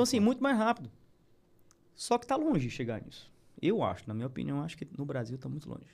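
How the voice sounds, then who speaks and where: A man with vocal fry speaks at a fairly high pitch and a very fast pace, broken by long, frequent pauses. His pitch swings very widely and his loudness swings a lot. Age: 40s. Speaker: animal feed business owner. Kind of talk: casual interview. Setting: studio.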